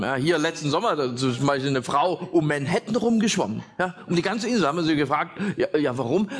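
A man speaks at a moderate pace with a high pitch and an animated, playful tone. His intonation is lively, and background noise is noticeable. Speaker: stand-up comedian. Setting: stage with audience. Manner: animated, punchline-driven, pausing for laughs; self-deprecating, playful storyteller doing voices.

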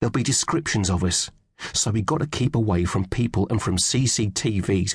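Natural-voiced reading aloud marked by ordinary pitch variation

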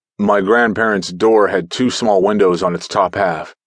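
Against a quiet background, a man talks in an ordinary speaking voice with fairly low pitch and ordinary pitch variation. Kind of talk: audiobook ghost story narration. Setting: studio. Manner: hushed, suspenseful, slow-paced storytelling.

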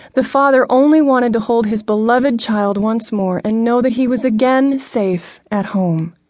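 Speaking in a high pitch with a dramatic tone, a woman keeps a moderate pace and ordinary pitch variation. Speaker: audiobook narrator. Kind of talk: scripted audiobook narration, devotional. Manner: dramatic, earnest, intimate; tender, directly addressing listener, pacing builds to urgent run.

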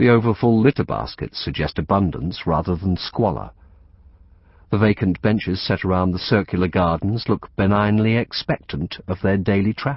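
This is a man with a plain, everyday voice, pitched fairly low. He moves at a moderate pace with ordinary pitch variation. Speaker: audiobook narrator. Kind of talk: audiobook narration, reading a literary novel aloud. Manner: precise, formal and evocative, with a descriptive flow.

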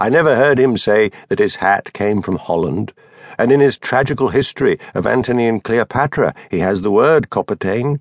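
This man has an ordinary speaking voice at a medium pitch, with ordinary pitch variation and a moderate pace. The sound is dry and close, with no echo. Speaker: audiobook narrator. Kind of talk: scripted narration of a fictional elderly actor's bawdy memoir, first person. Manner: wry, conspiratorial old raconteur relishing lurid childhood details.

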